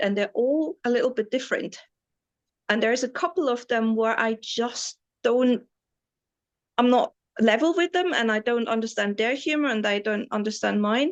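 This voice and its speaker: A woman with a German accent, high-pitched, at a moderate pace against a quiet background. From East Germany. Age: 40s. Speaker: tour guide and entrepreneur. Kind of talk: interview answer.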